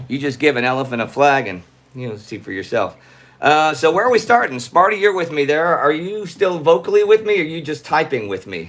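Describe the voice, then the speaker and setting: A man with an American accent talks at a moderate pace. His fairly high voice has an animated tone. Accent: slight Texas twang that comes out around home. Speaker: online history show host. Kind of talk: live stream auction. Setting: live stream at home with a co-host over Skype.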